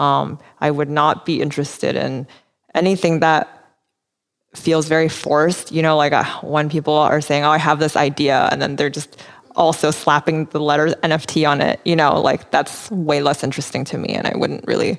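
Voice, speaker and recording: A woman's very deep, low voice with vocal fry and monotone, flat intonation. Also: moderate pace. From Taiwan and Vancouver, Canada. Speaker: digital artist. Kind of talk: interview conversation. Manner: hesitant, many fillers.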